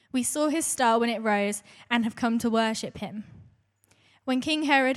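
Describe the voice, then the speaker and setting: A woman speaks at a moderate pace with a fairly high pitch in an ordinary speaking voice. The recording is very clean, with a silent background. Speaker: scripture reader. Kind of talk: reading aloud.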